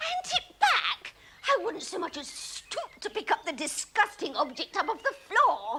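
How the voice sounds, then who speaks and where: A put-on character voice leaps across very wide pitch swings at an extremely high pitch. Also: moderate pace. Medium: short film. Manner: haughty, affected, scornful.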